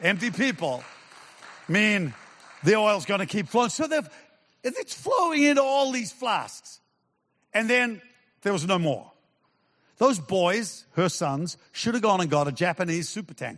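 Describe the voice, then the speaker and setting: This man talks at a high pitch with very wide swings and an animated tone. His pace is fairly slow, broken by long, frequent pauses. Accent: New Zealand. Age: 70s. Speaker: pastor. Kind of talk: sermon. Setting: church with live audience.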